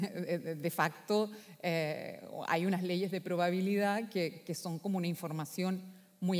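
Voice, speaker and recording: A plain, everyday voice from a woman, fairly low in pitch, fairly slow, with fairly even intonation over a quiet background. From Chile, Valparaíso; Chile. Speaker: philosopher; speaker. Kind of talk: conference talk. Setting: stage with audience. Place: hall. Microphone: echo in the room; headset.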